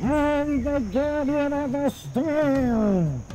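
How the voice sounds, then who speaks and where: A high-pitched, put-on character voice mumbles its words. Background noise is clearly audible. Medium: video game. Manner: mumbling, hard to understand.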